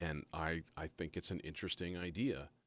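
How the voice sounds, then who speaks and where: A man speaks at a moderate pace. His very deep, low voice carries vocal fry. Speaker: live-streaming modular synth musician. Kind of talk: casual live stream talk.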